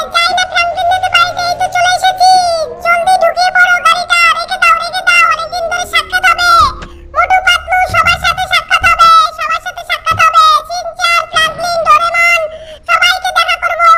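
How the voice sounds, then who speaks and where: At a moderate pace, the speaker uses a put-on character voice pitched extremely high. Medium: machinima. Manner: mocking, gleeful.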